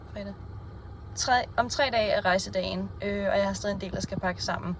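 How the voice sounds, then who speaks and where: Speaking fairly slowly, a woman is heard amid noticeable background noise and audible room echo. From Denmark, Bornholm. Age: 20s. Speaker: vlogger, cleaner and horse therapist. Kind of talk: casual vlog monologue. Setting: in a car and at the stable. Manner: hesitant with many fillers.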